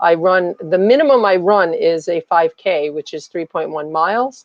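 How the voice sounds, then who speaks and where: In a normal speaking voice, a woman talks at a moderate pace, her pitch fairly low. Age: 60s. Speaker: summit speaker, running coach. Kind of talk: live interview. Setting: live stream.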